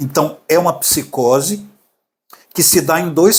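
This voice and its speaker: At a fairly slow pace, a man with a plain, everyday voice talks at a fairly high pitch with ordinary pitch variation. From Brazil, Minas Gerais (Belo Horizonte). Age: 60s. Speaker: artist sharing his mental health story. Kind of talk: podcast interview, personal testimony.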